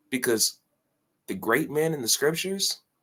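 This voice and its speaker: Loudly, a man speaks at a moderate pace. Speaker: reaction streamer. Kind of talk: motivational rant. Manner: animated.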